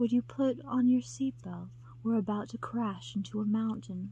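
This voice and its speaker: A breathy, whispering put-on character voice at a moderate pace, with clear background noise. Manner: breathy, whispering, seductive.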